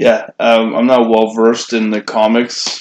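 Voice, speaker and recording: He talks at a fairly slow pace, his pitch medium. The man has an unremarkable speaking voice. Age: 30s. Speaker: podcast co-host. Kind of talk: casual chat.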